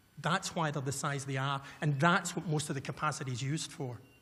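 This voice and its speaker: With a west of Scotland accent, a man speaks at a very fast pace. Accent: Scottish, west of Scotland. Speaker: violence prevention consultant. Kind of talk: conference keynote speech. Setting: stage with audience. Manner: fast when excited.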